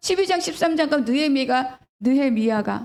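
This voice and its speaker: Her tone animated, a woman talks at a moderate pace with ordinary pitch variation. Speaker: pastor. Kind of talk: sermon. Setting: church. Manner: animated, rhetorical questions.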